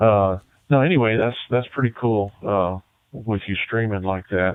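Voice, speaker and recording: A man speaks in an ordinary speaking voice, fairly low in pitch, with ordinary pitch variation and a fairly slow pace. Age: 60s. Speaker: retired ham radio operator. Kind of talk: ham radio contact chat. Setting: radio contact from bedroom shack.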